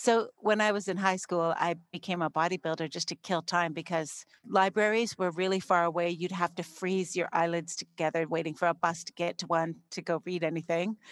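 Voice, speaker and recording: In a very clean recording with a silent background and a dry, close sound with no echo, a woman with a Canadian accent and an ordinary speaking voice talks at a fairly quick pace with fairly even intonation. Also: fairly low pitch for a woman. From Canada, Saskatchewan. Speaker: entrepreneur. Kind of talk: interview.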